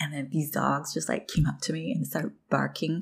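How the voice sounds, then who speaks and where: A woman's very deep, low voice with vocal fry. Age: 20s. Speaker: solo podcaster. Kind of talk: personal reflective monologue.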